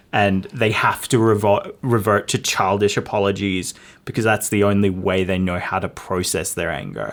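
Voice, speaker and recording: Someone with a New Zealand accent speaks at a moderate pace in monotone, flat intonation. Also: man, fairly low pitch for a man. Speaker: podcast co-host. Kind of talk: casual chat.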